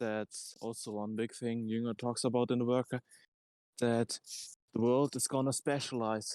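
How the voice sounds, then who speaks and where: A man with a non-native accent speaks at a medium pitch in a very clean recording with a silent background and a dry, close sound with no echo. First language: not English. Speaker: discussion participant. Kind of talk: group discussion. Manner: halting.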